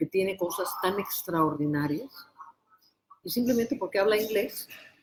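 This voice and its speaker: A woman speaks in an unremarkable speaking voice at a medium pitch with lively intonation. Her loudness stays very even. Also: moderate pace. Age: 60s. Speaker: prophet and preacher. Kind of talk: religious interview.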